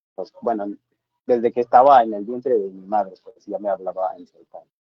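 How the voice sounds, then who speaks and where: A man with a Chiapas accent. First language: Tseltal (speaking Spanish). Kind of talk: panel discussion. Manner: halting.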